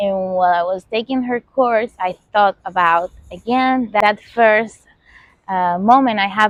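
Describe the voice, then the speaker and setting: A woman with a Venezuelan accent speaks at a medium pitch and a fairly slow pace, with ordinary pitch variation, in a dry, close sound with no echo. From Venezuela, Caracas. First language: Spanish. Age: 30s. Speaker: podcast host. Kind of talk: casual monologue. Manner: halting, many fillers.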